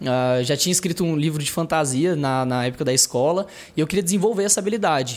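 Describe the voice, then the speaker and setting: In a very clean recording with a silent background, the man talks very fast. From Brazil, interior of Tocantins. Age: 20s. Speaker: startup founder. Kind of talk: casual interview.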